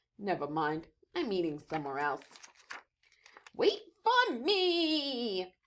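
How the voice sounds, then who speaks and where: A woman puts on a character voice at a fairly high pitch, with very wide pitch swings. She speaks at a fairly slow pace, leaving long, frequent pauses. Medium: read story.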